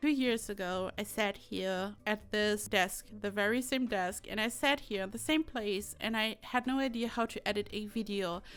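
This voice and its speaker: Over music in the background, a woman with a German accent speaks at a moderate pace with fairly even intonation. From Germany. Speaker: YouTuber, Sims builder. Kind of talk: voiceover commentary. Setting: home desk.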